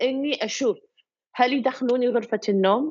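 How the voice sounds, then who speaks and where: With a Kuwaiti accent, a woman talks at a fairly slow pace in a high pitch. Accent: Kuwaiti Gulf Arabic. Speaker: photographer. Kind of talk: interview.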